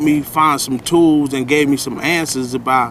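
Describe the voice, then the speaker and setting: Here a man talks at a fairly high pitch. Noticeable background noise runs behind him. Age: 40s. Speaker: rehab resident. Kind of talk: interview.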